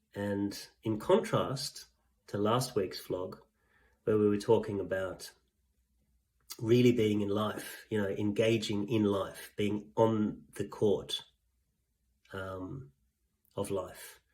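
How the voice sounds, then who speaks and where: A man speaks very slowly in a monotone, flat intonation, with long, frequent pauses. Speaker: executive coach. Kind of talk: vlog monologue. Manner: halting.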